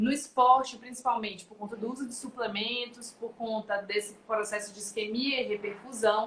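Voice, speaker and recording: A woman's voice with a fairly high pitch. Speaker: nutritionist. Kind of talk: live webinar talk. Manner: fast.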